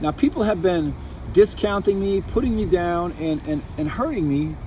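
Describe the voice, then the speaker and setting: Against noticeable background noise, a high-pitched man speaks at a fairly quick pace. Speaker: vlogger. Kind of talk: personal monologue. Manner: halting, repetitive.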